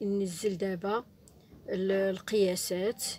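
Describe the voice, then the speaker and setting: Over a silent background in a very clean recording, a woman with a Moroccan accent speaks at a fairly slow pace with fairly even intonation. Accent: Moroccan Arabic (Darija). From Morocco. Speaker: sewing teacher. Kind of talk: tutorial. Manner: halting.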